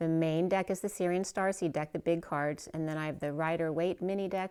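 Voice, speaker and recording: A woman's fairly low, dark, mellow voice at a fairly quick pace, monotone and flat, on a very clean recording with a silent background. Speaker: tarot reader. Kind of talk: tarot reading. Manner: casual, conversational.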